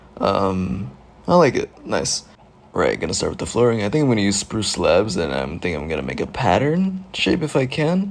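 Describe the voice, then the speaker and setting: Quietly and at a moderate pace, a man talks in a medium pitch with very wide pitch swings, with noticeable background noise behind him. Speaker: gaming youtuber. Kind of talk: gameplay commentary. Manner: casual, hesitant with fillers.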